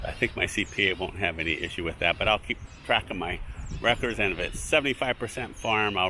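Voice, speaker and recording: The speech moves at a very fast pace. Background noise is noticeable. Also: man. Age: 60s. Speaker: fig farmer and video blogger. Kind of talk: casual vlog talk. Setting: outdoors in an orchard. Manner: halting, many fillers.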